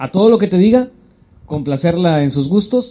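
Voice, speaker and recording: Pitched high, a man talks at a moderate pace. His pitch swings very widely. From Mexico, Monterrey. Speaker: podcast co-host. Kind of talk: casual chat.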